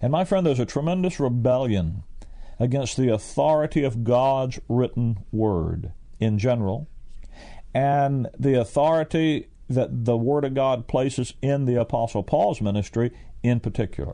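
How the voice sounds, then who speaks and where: A man with a Southern US accent and a dark, mellow tone, medium in pitch with ordinary variation, at a moderate pace and very even loudness. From US South. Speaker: Bible teacher. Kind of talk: radio Bible teaching. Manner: plain, direct.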